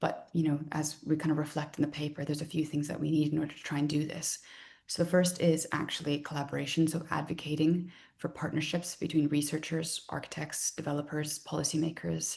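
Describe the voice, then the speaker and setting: Her pitch very deep and low, a woman speaks at a fairly quick pace, somewhat breathy and monotone with flat intonation. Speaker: design researcher and lecturer. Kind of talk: research talk. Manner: fast.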